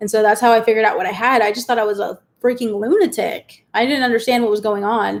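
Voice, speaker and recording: Talking at a very fast pace, the speaker has a US Midwestern accent. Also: woman. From Kansas, US Midwest (Wichita). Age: 30s. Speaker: YouTuber. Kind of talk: live stream Q&A chat. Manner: casual, chatty with many fillers.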